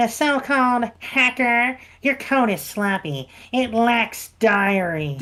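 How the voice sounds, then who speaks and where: A woman puts on a character voice with a fairly high pitch. She moves at a fairly slow pace with lively intonation. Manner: nerdy, stuffy.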